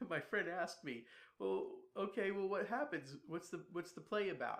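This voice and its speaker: With an American accent, a man speaks at a high pitch and moderate pace, his intonation lively. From US South. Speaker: playwright. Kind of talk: lecture.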